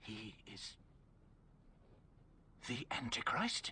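A man puts on a raspy character voice. Clear background noise sits behind him. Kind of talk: radio drama. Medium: audio drama.

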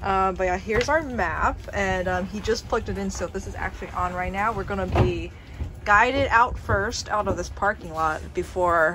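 A woman keeps a moderate pace as noticeable background noise fills the recording. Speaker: vlogger. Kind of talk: casual vlog chat. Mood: cheerful, excited. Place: waterside. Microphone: phone near.

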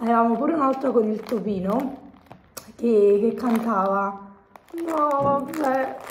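Noticeable background noise sits behind a woman with a fairly high pitch who speaks at a very slow pace, with long, frequent pauses and ordinary pitch variation. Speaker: vlogger. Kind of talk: casual chat. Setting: shopping mall. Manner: animated.

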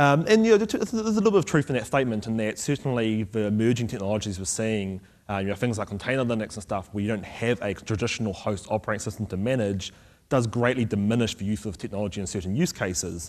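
Very fast, a man talks at a fairly low pitch with ordinary pitch variation. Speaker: conference speaker. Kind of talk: technical conference talk. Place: stage. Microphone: podium.

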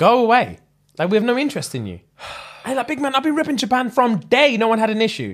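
With a London accent, a man speaks at a very fast pace in an extremely high pitch with ordinary pitch variation, over a quiet background. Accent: London multicultural English. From UK. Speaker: comedy podcast co-host. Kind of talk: casual chat. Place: home room. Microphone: studio mic.

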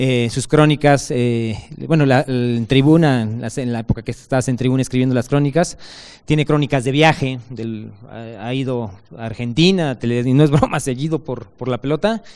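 The background stays quiet while a man talks. His pace is moderate and his pitch varies in an ordinary way. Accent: Mexican. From Mexico. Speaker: author presenting his book; book author on a panel. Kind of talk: speaker introduction; panel talk at a book presentation. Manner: halting. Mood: warm, friendly praise. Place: stage. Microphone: handheld.

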